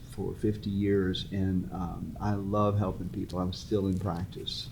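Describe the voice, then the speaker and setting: A man's fairly low voice at a fairly slow pace, fairly even in intonation, with audible room echo. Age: 70s. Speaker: therapist and author. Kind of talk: casual interview. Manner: halting.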